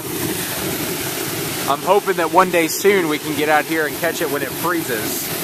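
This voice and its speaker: A man speaks with an American accent and fairly even intonation. Noticeable background noise runs underneath. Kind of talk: casual talk to camera. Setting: outdoors.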